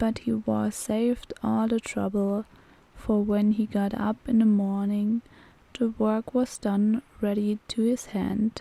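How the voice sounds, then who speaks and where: The delivery is very slow, with monotone, flat intonation and a calm tone. It is somewhat breathy and dark and mellow, in a dry, close sound with no echo. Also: woman, fairly high pitch for a woman, very even loudness. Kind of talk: bedtime story reading. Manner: soft-spoken, calm.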